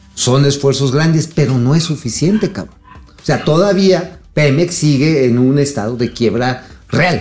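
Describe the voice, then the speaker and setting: A fairly slow, animated delivery with music in the background. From Mexico, State of Mexico (Tultitlán area). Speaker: financial news co-host. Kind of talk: casual chat about financial news.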